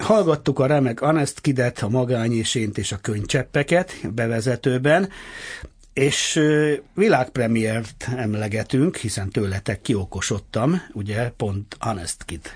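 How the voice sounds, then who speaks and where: Against a quiet background, a man with a medium pitch speaks very slowly and somewhat breathily, his pitch swinging very widely. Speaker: radio host. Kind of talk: interview. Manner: animated.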